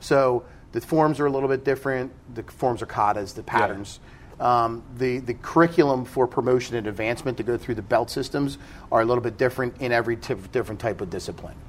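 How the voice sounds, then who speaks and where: A man with a medium pitch and ordinary pitch variation talks at a very fast pace, his loudness swinging widely. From South Jersey. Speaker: karate school owner and instructor. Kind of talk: casual interview.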